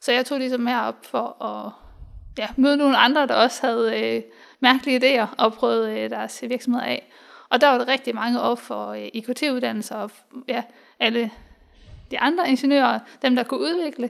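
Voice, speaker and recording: At a moderate pace, the speaker leaves long, frequent pauses on a very clean recording with a silent background. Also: woman. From Denmark, Hobro (Jutland). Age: 20s. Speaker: software developer and engineer. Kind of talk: interview. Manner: hesitant, many fillers.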